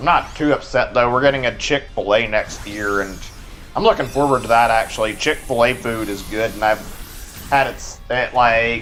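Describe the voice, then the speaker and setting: A man speaks with a Texan accent. Music plays in the background. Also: medium pitch for a man, moderate pace. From Texas. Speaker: video game streamer. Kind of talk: casual live stream chat.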